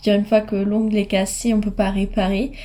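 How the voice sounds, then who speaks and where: Fairly high yet dark and mellow in tone, the woman's voice is somewhat breathy. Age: 20s. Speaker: hair care vlogger. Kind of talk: tutorial. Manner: hesitant with frequent fillers.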